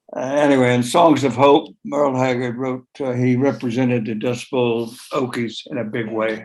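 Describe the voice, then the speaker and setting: Speaking with an American accent, a man holds a medium pitch. His intonation is monotone and flat, with hardly any pauses. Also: moderate pace. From West Virginia. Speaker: songwriter. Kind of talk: casual chat. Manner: halting.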